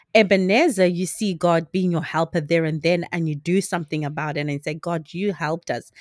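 In a very clean, silent, dry and close recording with no echo, a woman with a normal speaking voice talks at a moderate pace, fairly low in pitch with ordinary pitch variation. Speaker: podcast co-host. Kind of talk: casual faith conversation.

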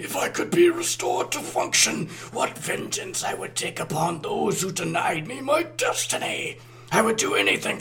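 A man puts on a raspy character voice, high in pitch. He speaks at a moderate pace, with background noise clearly heard. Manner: furious.

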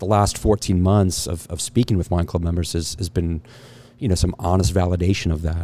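This is a man speaking. His voice is very deep and low, with a dark, mellow tone. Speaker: winery owner. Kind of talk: casual chat. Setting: winery, in person.

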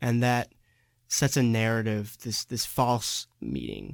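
A man's fairly low voice, an ordinary speaking voice, at a fairly slow pace with ordinary pitch variation, dry and close with no echo, on a very clean recording with a silent background. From San Diego, California. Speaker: student podcast host. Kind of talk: student podcast discussion.

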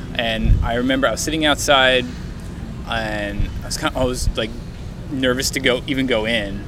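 The speaker has an American accent and fairly even intonation at a moderate pace, with long, frequent pauses. Noticeable background noise and audible room echo fill the recording. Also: man, medium pitch for a man. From New Jersey (Woodbridge). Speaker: podcast host, jazz musician. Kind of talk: scripted intro narration; casual interview chat. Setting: outdoors in a park.

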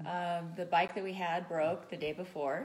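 Audible room echo follows a woman speaking with a Californian accent. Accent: Californian American. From California, Santa Barbara County mountains. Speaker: off-road motorcycle racer. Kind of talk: casual chat. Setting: home.

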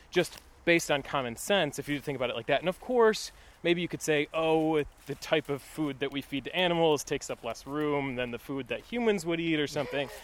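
Over a silent background in a very clean recording, a man with a plain, everyday voice talks at a fairly quick pace, fairly high in pitch with ordinary pitch variation. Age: 20s. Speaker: podcast host. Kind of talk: casual chat. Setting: outdoors.

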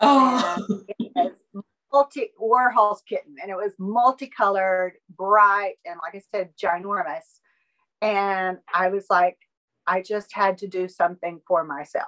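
In a Southern US accent, a woman with a bright, sharp tone and medium pitch talks at a fairly slow pace with ordinary pitch variation and big swings in loudness, in a dry, close sound with no echo. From Alabama. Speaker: artist. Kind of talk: interview.

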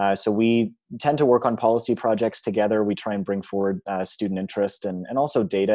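With a Canadian accent, a man speaks at a fairly low pitch in a dark, mellow tone over a quiet background. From Ontario, Canada (Georgetown). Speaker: student union president. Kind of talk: interview.

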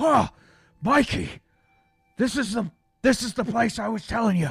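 The delivery is fairly slow, with ordinary pitch variation and music in the background. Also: man, high pitch for a man. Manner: excitable, alarmed.

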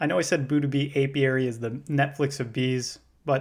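Over a very clean recording with a silent background, a man talks at a fairly quick pace. He has a normal speaking voice at medium pitch. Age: 20s. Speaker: podcast host and first-year beekeeper. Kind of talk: scripted narration.

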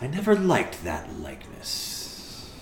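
Fairly slow pace in a put-on character voice, clear background noise behind it. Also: man. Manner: stern, dry.

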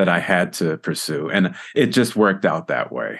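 A man with an unremarkable speaking voice, lively intonation and a moderate pace, against a quiet background. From Southern California (Los Angeles). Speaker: retired orchestral percussionist. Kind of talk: casual interview. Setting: video call.

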